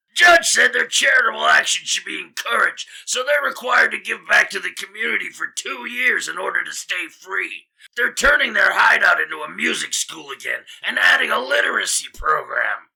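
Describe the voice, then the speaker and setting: A man uses a raspy, put-on character voice. He goes at a moderate pace with hardly any pauses. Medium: audio drama. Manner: brusque, wry.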